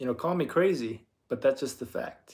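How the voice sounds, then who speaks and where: With an American accent, a man talks at a moderate pace and with ordinary pitch variation. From California, Bay Area. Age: 20s. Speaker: livestreamer. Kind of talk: casual livestream monologue.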